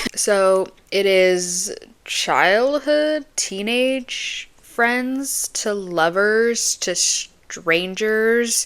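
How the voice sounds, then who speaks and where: A woman speaks with a fairly high pitch. Her pitch variation is ordinary. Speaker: booktube vlogger. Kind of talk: casual vlog chat. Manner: fast; animated.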